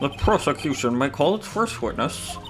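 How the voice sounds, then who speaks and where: A man performs a put-on character voice at a fairly high pitch. He keeps a moderate pace, with clear music in the background. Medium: game stream. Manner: slow, haughty, condescending.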